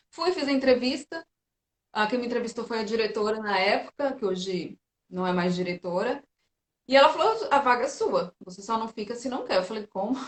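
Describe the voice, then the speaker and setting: An unremarkable speaking voice talks at a fairly quick pace, with lively intonation and big swings in loudness. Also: woman, fairly high pitch for a woman. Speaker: physiotherapist and teacher. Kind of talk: casual interview chat.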